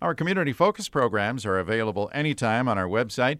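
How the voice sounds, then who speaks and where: A man speaks at a fairly quick pace with medium pitch. He has a plain, everyday voice. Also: very clean recording, silent background. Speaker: radio host. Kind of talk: radio interview.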